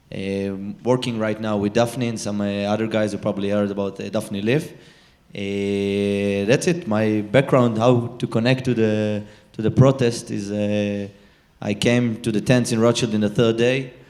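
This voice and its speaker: A man with an Israeli accent, fairly low in pitch, at a moderate pace with fairly even intonation. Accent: Israeli, non-native English. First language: Hebrew. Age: 20s. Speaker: social activist. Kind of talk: panel discussion. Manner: halting, many fillers.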